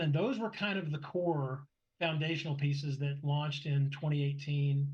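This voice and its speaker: A man speaks in a somewhat breathy voice. His pitch is fairly high. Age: 60s. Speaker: motorsport club director. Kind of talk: interview conversation.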